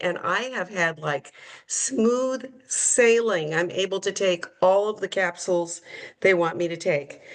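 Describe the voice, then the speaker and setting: A woman speaks at a medium pitch in a plain, everyday voice. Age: 60s. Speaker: program participant sharing results. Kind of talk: testimony.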